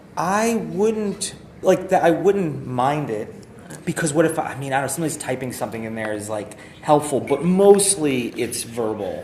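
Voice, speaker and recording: There is noticeable background noise behind a man's fairly high voice. His pitch swings very widely. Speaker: livestreamer giving app feedback. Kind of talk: casual product feedback chat. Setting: live stream. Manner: fast; halting, many fillers.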